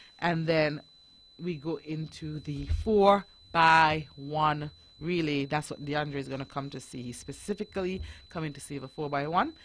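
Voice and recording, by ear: A woman's low-pitched voice with ordinary pitch variation, at a fairly slow pace.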